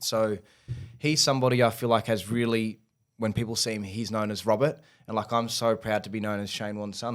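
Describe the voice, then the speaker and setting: A man's fairly low voice in an Australian accent. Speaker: podcaster and son of a famous cricketer. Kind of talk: casual interview chat. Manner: animated.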